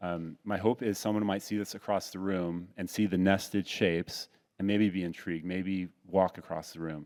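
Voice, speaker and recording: On a very clean recording with a silent background, a man speaks at a very deep, low pitch with fairly even intonation. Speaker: painter. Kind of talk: panel discussion. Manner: fast.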